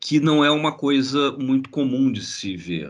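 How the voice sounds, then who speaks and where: A man speaks with a Carioca accent. His pace is very slow. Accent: carioca (Rio de Janeiro) Brazilian Portuguese. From Brazil, Rio de Janeiro. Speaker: graphic designer and researcher. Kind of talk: online lecture. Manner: halting, repeats words.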